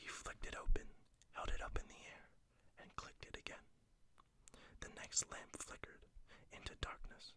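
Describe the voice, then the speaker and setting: Whispered speech at a moderate pace, broken by long, frequent pauses. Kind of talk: read story.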